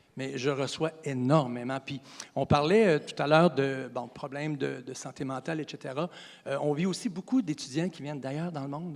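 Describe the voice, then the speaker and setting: Using an ordinary speaking voice, a man talks at a moderate pace with a fairly high pitch, ordinary pitch variation and big swings in loudness. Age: 60s. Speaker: college physical education teacher. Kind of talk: interview.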